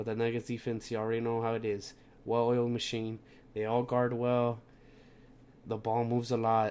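A man speaks in a monotone with flat intonation and a slightly mellow tone. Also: medium pitch for a man, moderate pace.

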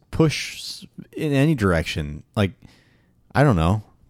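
Very wide pitch swings mark a man's fairly low voice as he speaks at a very slow pace. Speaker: podcast co-host. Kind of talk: casual chat.

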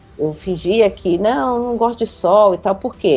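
A woman's dark, mellow tone, fairly high pitch and lively intonation. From Rio de Janeiro, Brazil. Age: 60s. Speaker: city councillor. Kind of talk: interview.

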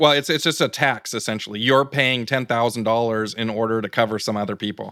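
Over a very clean recording with a silent background, a man speaks at a medium pitch with a bright, sharp tone. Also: fairly even intonation, fairly quick pace. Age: 50s. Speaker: presidential candidate. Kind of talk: interview. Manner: halting.

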